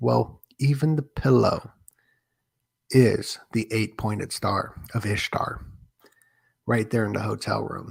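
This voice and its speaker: A man speaks quietly and very slowly. He leaves long, frequent pauses. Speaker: livestream conspiracy-theory host. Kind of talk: live stream monologue. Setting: apartment at night, live stream. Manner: keeping voice down, trying to be quieter.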